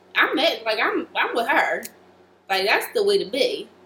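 A woman's pitch rises and falls across a very wide range at a moderate tempo, with clearly audible noise in the background. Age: 20s. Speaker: podcast co-host. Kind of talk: casual chat.

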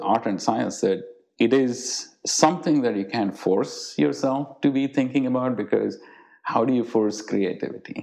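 A man with a dark, mellow tone and medium pitch speaks at a moderate pace with lively intonation. Vocal fry runs through his voice. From India. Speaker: artist and cancer research program director. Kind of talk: interview.

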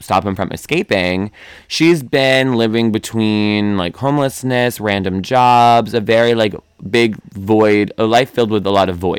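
Captured in a very clean recording with a silent background, the voice moves at a moderate pace with ordinary pitch variation. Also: man. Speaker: book podcast co-host. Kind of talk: casual chat. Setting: low-quality home recording. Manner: loud.

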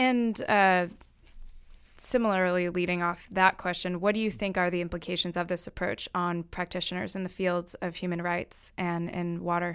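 In a normal speaking voice, a woman talks at a moderate pace with a fairly low pitch and fairly even intonation on a very clean recording with a silent background. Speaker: student interviewer. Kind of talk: interview questions. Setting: studio.

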